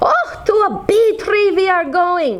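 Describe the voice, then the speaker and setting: The woman's put-on character voice is pitched extremely high. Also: fairly slow pace. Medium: read story.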